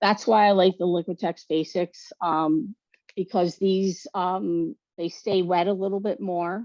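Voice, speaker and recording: Medium pitch and ordinary pitch variation in a woman's voice. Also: fairly slow pace. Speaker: artist giving a printmaking demonstration. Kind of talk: tutorial. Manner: loud; casual, with frequent fillers.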